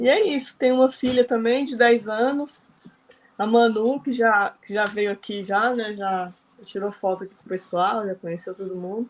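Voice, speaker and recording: A woman with a plain, everyday voice speaks at a moderate pace and a fairly high pitch, her loudness swinging widely while her pitch varies in an ordinary way. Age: 40s. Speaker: psychologist, book club participant. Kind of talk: casual group discussion.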